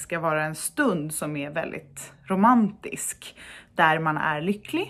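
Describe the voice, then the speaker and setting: A woman is speaking. The background is quiet. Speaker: blogger. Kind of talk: casual vlog chat. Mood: cheerful, animated. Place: home room. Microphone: phone near.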